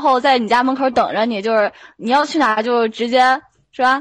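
This woman has a high pitch and speaks at a fairly quick pace. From Shandong, Yantai. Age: young. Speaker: student athlete. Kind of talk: casual chat. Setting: voice chat room.

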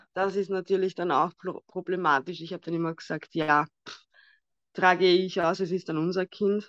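A woman with an Austrian accent speaks at a fairly low pitch in a monotone, flat way. She leaves long, frequent pauses against a quiet background. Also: moderate pace. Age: 30s. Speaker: guest sharing infertility story. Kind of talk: personal testimony.

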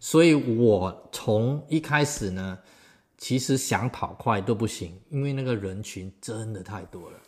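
In a very clean recording with a silent background, a man speaks at a very slow pace with lively intonation. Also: medium pitch for a man. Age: 50s. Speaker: amateur marathon runner. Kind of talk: casual interview chat.

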